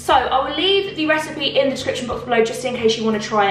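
A woman's fairly bright voice at a moderate pace, with lively intonation and faint background noise.

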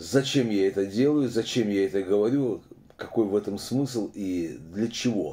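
This man talks at a fairly slow pace, leaving long, frequent pauses. His pitch is fairly low, with ordinary variation. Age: 60s. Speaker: opposition video blogger. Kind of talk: casual monologue commentary. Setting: video monologue to camera. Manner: filler-heavy, halting. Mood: critical, earnest. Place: home room. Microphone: phone near.

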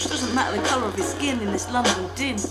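Speech moves at a moderate pace over loud background music. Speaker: vlogger. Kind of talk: rhythmic spoken-word rant. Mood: angry, indignant. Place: home room. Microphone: phone near.

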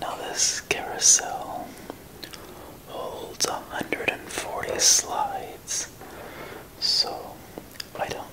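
Someone whispers with long, frequent pauses. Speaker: ASMR creator. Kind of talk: ASMR slide viewing commentary. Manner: whispered.

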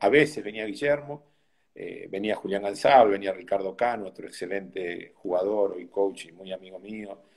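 Over a quiet background, a man speaks in an ordinary speaking voice at a moderate pace. His pitch is fairly low, with ordinary pitch variation. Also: big swings in loudness. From Argentina. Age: 60s. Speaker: tennis coach; tennis coach, interview guest. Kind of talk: interview. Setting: video call. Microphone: phone near.

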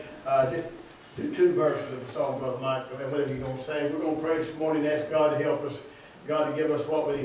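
The man's voice sits fairly high in pitch. Strong room echo and light background noise surround it. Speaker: church pastor. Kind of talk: casual church announcements and prayer. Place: church. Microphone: camera far.

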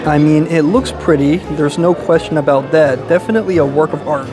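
A man at a fairly quick pace with fairly even intonation, clear music in the background. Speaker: food reviewer. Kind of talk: casual vlog chat. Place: cafe. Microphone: phone near.

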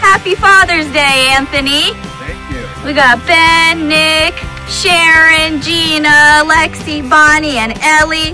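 A woman's raised, projected voice at a very slow pace, fairly even in intonation, over clear music in the background. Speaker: vlogger. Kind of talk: casual vlog chat. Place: forest. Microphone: phone near.

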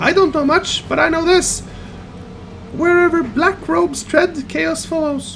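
An extremely high-pitched, put-on character voice at a moderate pace, with clear background noise.

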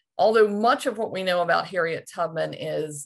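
The voice has vocal fry. The background is quiet. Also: woman. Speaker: presenter. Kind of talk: lecture. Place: home room. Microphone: video call.

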